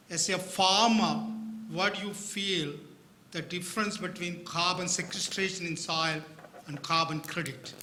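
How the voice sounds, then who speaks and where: A man with a high pitch speaks loudly at a fairly slow pace, with fairly even intonation and long, frequent pauses. Noticeable background noise and audible room echo fill the recording. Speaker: university researcher asking a question. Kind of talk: audience question.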